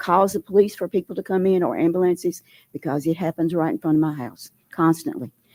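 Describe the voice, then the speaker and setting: In a Southern US accent, a woman with a medium pitch and a dark, mellow tone speaks on a very clean recording with a silent background and a dry, close sound free of echo. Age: 80s+. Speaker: resident speaking at public hearing. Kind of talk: public comment at meeting. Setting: public meeting hall. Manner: halting.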